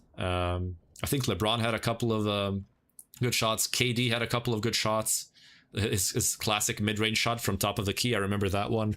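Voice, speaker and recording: In a very clean recording with a silent background, a man speaks at a fairly low pitch with a bright, sharp tone. His loudness stays very even and his intonation is flat and monotone. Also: moderate pace. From Croatia. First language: Croatian. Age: 20s. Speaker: gaming streamer. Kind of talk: casual chat. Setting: livestream.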